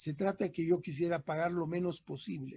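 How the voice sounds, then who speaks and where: A man's high-pitched voice with a dark, mellow tone, dry and close with no echo, over a quiet background. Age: 70s. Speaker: engineer, laboratory manager giving a conference talk. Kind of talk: lecture Q&A. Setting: online conference, streamed to Facebook.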